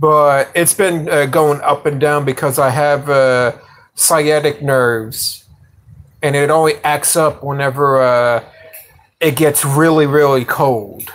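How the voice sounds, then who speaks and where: A man with an American accent at a very slow pace, fairly high pitch, fairly even intonation and very even loudness. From New York (Yonkers). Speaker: livestreamer, motorcycle hobbyist. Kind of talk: casual live stream chat. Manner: halting, many fillers.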